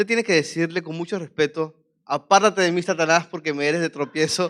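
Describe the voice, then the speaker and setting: A man with a Venezuelan accent talks at a fairly quick pace in a fairly high pitch with fairly even intonation. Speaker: preacher. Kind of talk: sermon.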